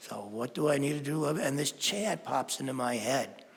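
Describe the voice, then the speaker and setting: Heard with audible room echo, a man talks at a medium pitch and a moderate pace, with ordinary pitch variation. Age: 70s. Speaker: spiritual teacher. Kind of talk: sermon.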